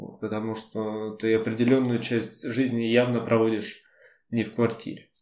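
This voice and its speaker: Speaking at a moderate pace in a medium-pitched, monotone, flat voice, a man swings widely in loudness. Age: 20s. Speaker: podcast co-host. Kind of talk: casual chat.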